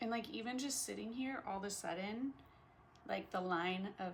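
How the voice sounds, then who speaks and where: A woman's voice comes through somewhat breathy. Her pitch varies in an ordinary way. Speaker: vlogger. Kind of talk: casual vlog monologue. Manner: slow with pauses; hesitant, many fillers.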